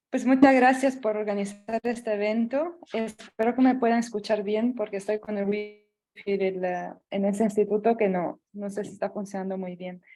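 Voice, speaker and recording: A soft-spoken woman with a fairly high voice talks at a moderate pace with hardly any pauses. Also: fairly even intonation. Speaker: researcher asking question. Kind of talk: audience question. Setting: video call from shared office.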